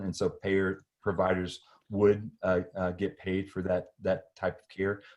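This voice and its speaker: The man has a normal speaking voice, pitched fairly low, and keeps a moderate pace. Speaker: physician presenting at a webinar. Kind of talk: webinar presentation and Q&A.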